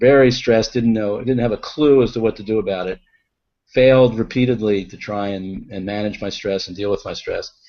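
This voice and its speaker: Fairly even intonation in a man's fairly low-pitched voice. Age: 60s. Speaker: physician and stress expert. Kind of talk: interview. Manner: hesitant, many fillers.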